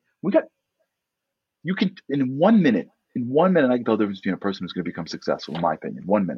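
In a New York accent, a man talks at a very fast pace with an animated tone, vocal fry and very wide pitch swings. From US Northeast, Brooklyn, New York. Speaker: motivational speaker. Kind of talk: casual chat.

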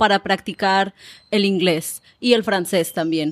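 A woman speaks at a fairly slow pace, at a medium pitch, with fairly even intonation and an ordinary speaking voice. The recording is very clean, with a silent background. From Mexico, Colima (Manzanillo). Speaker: YouTube creator and Spanish teacher. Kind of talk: interview.

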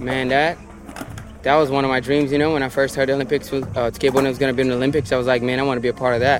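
A man talks at a very fast pace with a medium pitch. His intonation is monotone and flat, with noticeable background noise. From Brazil, Brasilia. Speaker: professional skateboarder. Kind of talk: interview.

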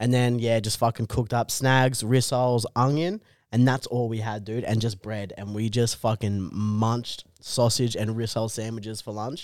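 Hardly any pauses, fairly even intonation and an Australian accent, on a very clean recording with a silent background. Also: man, medium pitch for a man, moderate pace. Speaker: comedian. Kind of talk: casual chat.

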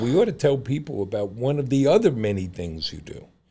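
At a very fast pace, a man talks in a dark, mellow, somewhat breathy voice of medium pitch. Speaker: podcast co-host. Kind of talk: casual chat.

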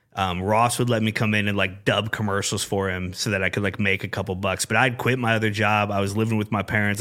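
On a very clean recording with a silent background, a man with a Midwestern US accent speaks at a very fast pace with hardly any pauses, using a bright, sharp tone, a fairly low pitch and monotone, flat intonation. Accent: US Midwest. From Iowa, Des Moines area (Urbandale). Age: 40s. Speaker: sports radio program director. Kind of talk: casual chat. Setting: studio.

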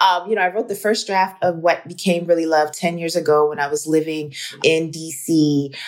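There is noticeable background noise as a woman speaks at a fairly quick pace. Her pitch sits fairly low. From Baltimore. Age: 40s. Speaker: film producer. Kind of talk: interview. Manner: animated.

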